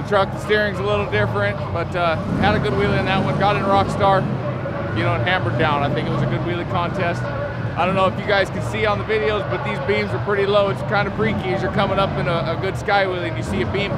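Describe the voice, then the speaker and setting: A man speaks at a very fast pace. Loud background noise surrounds a dry sound with no echo. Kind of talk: interview answer. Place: stadium.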